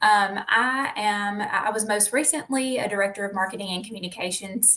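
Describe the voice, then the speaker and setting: A woman's medium-pitched voice in a Southern US accent, at a moderate pace with ordinary pitch variation. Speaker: public information officer and educator. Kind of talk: interview.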